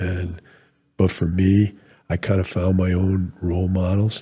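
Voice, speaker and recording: On a very clean recording with a silent background, a man speaks with a very deep, low pitch. His tone is dark, mellow and somewhat breathy, his intonation monotone and flat. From New England, Rhode Island. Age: 60s. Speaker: retired military officer. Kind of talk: podcast interview.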